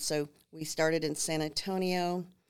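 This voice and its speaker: With an American accent, a woman speaks at a very deep, low pitch. Her intonation is monotone and flat. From Minnesota, New Ulm. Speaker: home builder sales representative. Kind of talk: casual interview chat.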